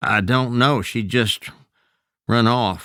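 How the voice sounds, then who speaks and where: A man puts on a shaky character voice in a Southern Appalachian accent at a medium pitch, with ordinary pitch variation, on a very clean recording with a silent background. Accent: rural Southern Appalachian dialect. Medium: read story. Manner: hesitant, nervous.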